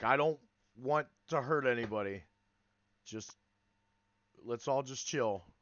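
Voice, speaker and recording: A put-on, raspy character voice from a man at medium pitch and moderate pace, with long, frequent pauses. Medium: actual play. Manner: conciliatory, chatty.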